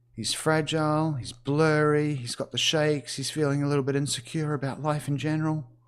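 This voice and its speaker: Speaking at a fairly quick pace with hardly any pauses, a man with a New Zealand accent and a fairly high pitch comes through in a very clean recording with a silent background. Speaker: gaming streamer. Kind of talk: gameplay livestream commentary. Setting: livestream. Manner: animated.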